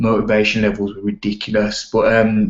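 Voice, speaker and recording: Quiet and fairly low in pitch, a man talks at a moderate pace. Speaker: network marketing team leader. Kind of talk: training call. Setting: online video call. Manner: quiet, hushed; casual, energetic.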